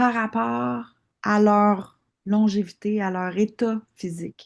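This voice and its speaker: A woman speaks in a Quebec accent against a quiet background. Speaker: osteopath and longevity course instructor. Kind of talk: live online class Q&A. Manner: hesitant, many fillers.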